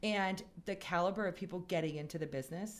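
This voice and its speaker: A woman with an American accent speaks in a normal speaking voice at a fairly quick pace. Her pitch is fairly low, with ordinary variation. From Wheaton, Illinois. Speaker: real estate brokerage executive. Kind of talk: radio talk show interview. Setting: radio studio.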